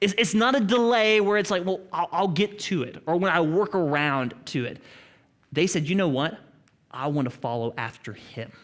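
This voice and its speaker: In an Oklahoma accent, a high-pitched man speaks at a moderate pace. His pitch swings very widely on a very clean recording with a silent background. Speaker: pastor. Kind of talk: sermon. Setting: church with congregation.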